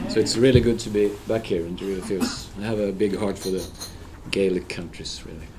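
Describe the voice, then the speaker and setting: A man talks with a Swedish accent. Room echo is audible. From Sweden. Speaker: social care alarm coordinator. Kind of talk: conference presentation. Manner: halting.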